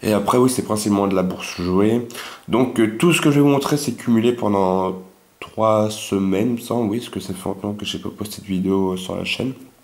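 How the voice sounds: With a fairly low pitch and a slightly mellow tone, a man talks at a fairly quick pace with ordinary pitch variation. Audible room echo is present.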